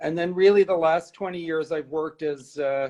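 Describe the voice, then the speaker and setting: Intonation stays fairly even as a man talks in an American accent. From New York. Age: 60s. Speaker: art curator. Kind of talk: interview. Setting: live stream.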